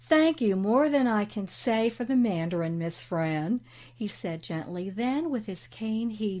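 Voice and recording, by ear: The intonation is lively. A natural voice reads aloud.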